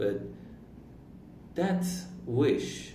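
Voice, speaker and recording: A man with an Iranian accent, very slow pace, vocal fry and audible room echo. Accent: Iranian non-native English. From Iran, Turkic-speaking region. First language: Turkish. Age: 20s. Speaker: vlogger. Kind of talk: personal reflective monologue.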